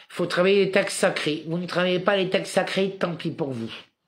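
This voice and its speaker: With audible room echo, a man talks at a moderate pace, his high pitch showing ordinary variation. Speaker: spiritual commentator livestreamer. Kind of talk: live monologue; reading aloud own written text.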